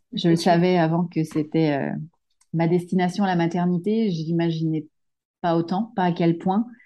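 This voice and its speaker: At a moderate pace, a woman speaks with fairly even intonation and long, frequent pauses. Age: 30s. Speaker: solo mother sharing her fertility journey. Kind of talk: testimony. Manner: halting, frequent repetitions and hesitations.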